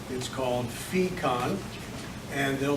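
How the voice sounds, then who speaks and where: Over noticeable background noise and audible room echo, a man talks at a fairly slow pace with ordinary pitch variation. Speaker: think tank president and speaker. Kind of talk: lecture.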